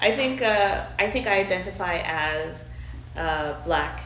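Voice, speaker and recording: A woman talks very slowly amid audible room echo and noticeable background noise. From Montreal, Canada, partly raised in Trinidad and Tobago. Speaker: interviewee. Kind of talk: interview.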